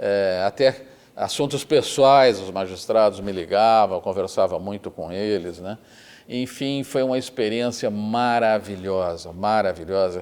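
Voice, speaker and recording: The speech comes in a southern Brazilian accent at a fairly slow pace. Pitch variation is ordinary, while the loudness swings widely. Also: man, fairly low pitch for a man. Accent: southern Brazilian (gaúcho) Portuguese. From Rio Grande do Sul, Brazil. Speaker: retired federal appellate judge. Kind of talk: oral history interview answer.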